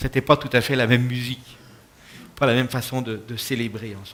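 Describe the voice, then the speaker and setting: A man speaks with a slight Quebec accent. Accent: French, slightly Quebec-tinged. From France. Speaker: pastor. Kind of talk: talk to an audience. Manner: hesitant, many fillers.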